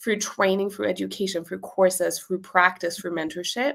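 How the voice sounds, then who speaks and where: The pace is moderate. Vocal fry runs through the voice. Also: woman. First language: German. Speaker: business owner and copywriting coach. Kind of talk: interview.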